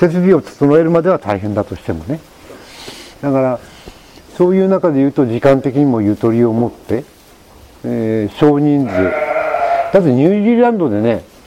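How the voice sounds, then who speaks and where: Pitched fairly high, a man speaks at a moderate pace with very wide pitch swings. Noticeable background noise can be heard. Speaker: sheep ranch owner and former French chef. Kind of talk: casual chat.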